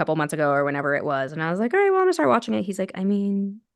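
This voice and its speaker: A woman with an American accent speaks against a quiet background. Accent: Utah accent, comes out when talking fast. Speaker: podcast host. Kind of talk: casual chat. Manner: fast when on a roll.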